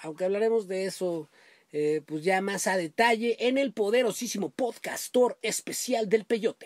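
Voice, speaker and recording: A man with a high voice speaks at a moderate pace, the sound dry with no echo against a quiet background. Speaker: podcast host. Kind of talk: casual podcast storytelling. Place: home room. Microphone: webcam.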